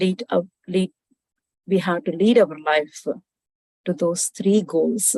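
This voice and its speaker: Very slowly and with long, frequent pauses, a woman speaks in a dark, mellow tone with ordinary pitch variation. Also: medium pitch for a woman, dry, close sound with no echo. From Andhra Pradesh, India. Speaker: IT consulting business owner, spiritual seeker. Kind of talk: spiritual talk on meditation and wisdom.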